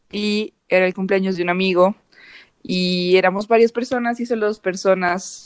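An unremarkable speaking voice with fairly even intonation is heard in a dry, close sound with no echo. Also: woman. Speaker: university student, podcast co-host. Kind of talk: casual chat.

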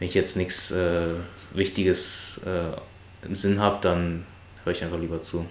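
A man speaks at a fairly slow pace in a very deep, low pitch, with monotone, flat intonation. Room echo is audible. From Brandenburg near Berlin, family from China. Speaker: friend of the host. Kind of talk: casual chat.

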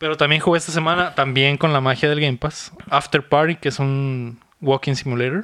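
A man's fairly high, bright, sharp voice, fairly quick, with fairly even intonation. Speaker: podcast host. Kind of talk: casual chat.

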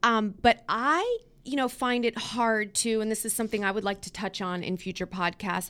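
A woman's plain, everyday voice with an American accent, fairly high in pitch, with ordinary pitch variation at a moderate pace, on a very clean recording with a silent background. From Pittsburgh, Pennsylvania. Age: 40s. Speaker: podcast host. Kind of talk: casual chat.

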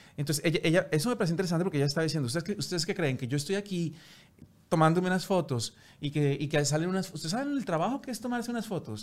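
A man with a high voice speaks very fast with lively intonation, recorded very cleanly against a silent background. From Colombia, Bogotá. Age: 40s. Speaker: TV presenter. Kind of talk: interview.

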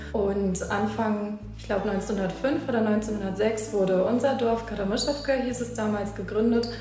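A woman with a fairly high pitch talks at a fairly slow pace, her intonation fairly even and her loudness very even. Audible room echo and noticeable background noise surround her voice. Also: hardly any pauses. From Germany. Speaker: social worker with ethnic Germans. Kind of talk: interview.

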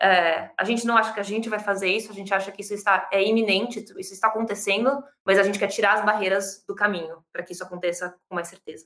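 A woman's medium-pitched voice, bright and sharp in tone, at a very fast pace with hardly any pauses, monotone and flat in intonation, with big swings in loudness. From Brazil, São Paulo. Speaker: startup accelerator co-founder. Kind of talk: interview.

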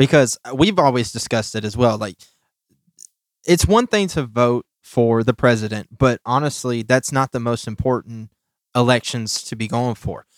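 A man with a plain, everyday voice speaks at medium pitch and a moderate pace with ordinary pitch variation, recorded very cleanly against a silent background with a dry, close sound and no echo. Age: 20s. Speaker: podcast host. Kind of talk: reading aloud; casual chat.

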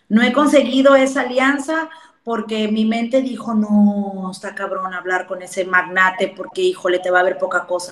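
A woman's medium-pitched voice at a moderate pace, ordinary pitch variation, and noticeable background noise. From Mexico, rural. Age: 30s. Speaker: entrepreneur. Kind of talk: casual interview.

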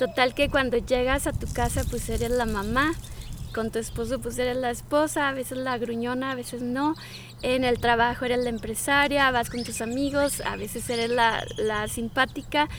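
The delivery is monotone and flat. Noticeable background noise runs beneath it. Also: woman, high pitch for a woman, moderate pace. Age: 40s. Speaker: life coach. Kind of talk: casual conversation. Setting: outdoors in a park. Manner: calm, peaceful.

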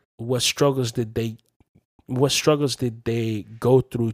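A man with a plain, everyday voice talks at a fairly slow pace and fairly even intonation, in a dry, close sound with no echo. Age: 20s. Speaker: podcast host. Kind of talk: casual chat.

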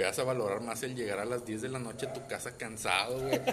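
There is audible room echo and noticeable background noise as a man with medium pitch talks at a fairly quick pace with fairly even intonation. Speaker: podcast co-host. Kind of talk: casual chat.

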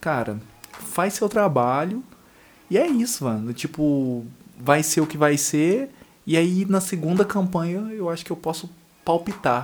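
Taking long, frequent pauses, a man with a high voice speaks fairly slowly with lively intonation. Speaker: podcast co-host, coffee entrepreneur. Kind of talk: casual chat. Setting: home studio room. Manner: animated.

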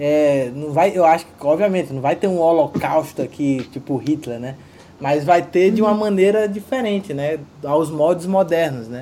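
A man's unremarkable speaking voice, fairly high in pitch, with ordinary pitch variation at a moderate pace. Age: 30s. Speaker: podcast host. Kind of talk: casual film discussion.

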